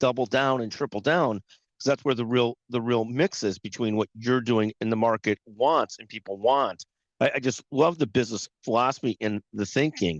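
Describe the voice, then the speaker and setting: Against a quiet background, a man with a normal speaking voice talks at a moderate pace and medium pitch. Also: dry, close sound with no echo. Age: 60s. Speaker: podcast host. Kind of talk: interview.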